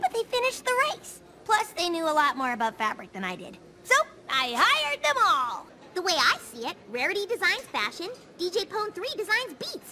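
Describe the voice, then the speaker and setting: A cartoonish, female-sounding character voice sits at an extremely high pitch with very wide swings. It moves at a moderate pace over clear background noise. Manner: brash, casual.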